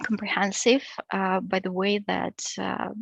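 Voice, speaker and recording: A woman speaks with a Russian accent. Her pitch sits in the medium range. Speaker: PhD researcher. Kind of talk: academic seminar presentation. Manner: halting, many fillers.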